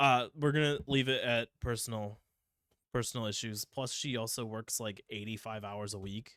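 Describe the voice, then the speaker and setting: Recorded very clean with a silent background and a dry, close sound with no echo, a man with a Midwestern accent talks at a moderate pace with fairly even intonation. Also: medium pitch for a man. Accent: Midwest. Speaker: podcast host. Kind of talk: casual chat.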